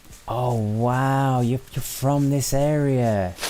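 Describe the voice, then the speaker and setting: A man at a very slow pace, medium in pitch with ordinary pitch variation, against noticeable background noise. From northern England, Lancashire. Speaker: gaming streamer. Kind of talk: live gameplay stream chat. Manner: relaxed, calm; repetitive, halting.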